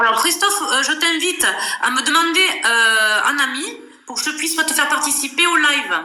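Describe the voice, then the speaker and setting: A woman speaks in a high, raised and projected voice with a Toulouse accent. Her intonation is lively at a moderate pace, and room echo is audible. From southern France, Toulouse area. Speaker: live stream host. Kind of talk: casual live chat. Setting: live video stream.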